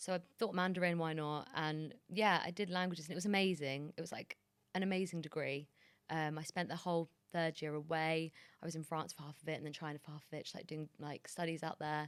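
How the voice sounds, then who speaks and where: In a London accent, a woman talks at a fairly quick pace. Her pitch is very deep and low, with fairly even intonation. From London, England. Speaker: TV producer and journalist. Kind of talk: interview. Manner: casual.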